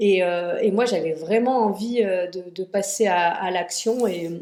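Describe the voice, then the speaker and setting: Noticeable background noise sits behind a woman speaking at medium pitch with fairly even intonation. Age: 30s. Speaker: cosmetics brand founder. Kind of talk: podcast interview. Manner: halting, many hesitations.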